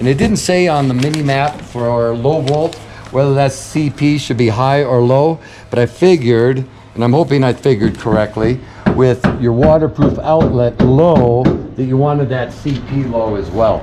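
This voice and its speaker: A man's medium-pitched voice at a moderate pace with ordinary pitch variation, music playing behind him. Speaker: construction manager. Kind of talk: home walkthrough tour. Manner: halting, some stumbles.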